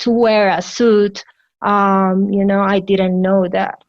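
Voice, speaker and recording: The voice belongs to a woman speaking with a Colombian accent. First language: Spanish. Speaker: physician. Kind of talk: interview answer.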